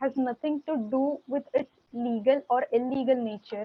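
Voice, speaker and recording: A woman talks at a moderate speed, her voice high-pitched and her intonation fairly even. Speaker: law student mooting as counsel. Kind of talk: moot court oral argument. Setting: video call. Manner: formal; hesitant, with fillers. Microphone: too quiet.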